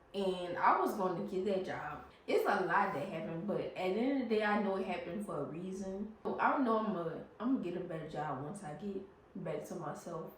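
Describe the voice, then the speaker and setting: Through noticeable background noise and audible room echo, a woman is heard speaking. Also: medium pitch for a woman, ordinary pitch variation, fairly quick pace. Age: 20s. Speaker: vlogger, stroke survivor. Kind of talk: storytime vlog. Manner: halting, word-finding pauses.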